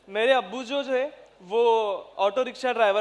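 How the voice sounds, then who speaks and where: This man's voice sits at an extremely high pitch, with ordinary pitch variation. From Maharashtra, India (Jalna district, rural). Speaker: civil servant. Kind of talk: motivational speech.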